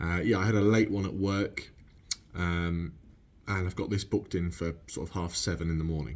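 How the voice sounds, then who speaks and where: A man speaks with an English accent at a moderate pace. He leaves long, frequent pauses. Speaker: car vlogger. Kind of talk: casual vlog. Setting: garage.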